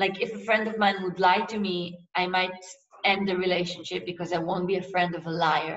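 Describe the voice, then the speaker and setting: In an Israeli accent, a woman speaks at a moderate pace with ordinary pitch variation, and the room echo is audible. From Israel, Tel Aviv. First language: Hebrew. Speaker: novelist. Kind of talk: author interview.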